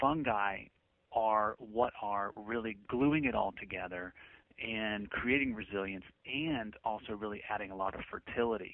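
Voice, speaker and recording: Moderate pace and ordinary pitch variation from a man with a fairly low voice. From northern England and Maryland, Appalachian. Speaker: permaculture designer and author. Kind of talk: interview. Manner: hesitant, many fillers.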